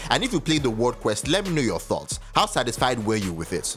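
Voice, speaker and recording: Over music in the background, a man with a Nigerian accent talks at a very fast pace. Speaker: gaming commentator. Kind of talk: video essay commentary.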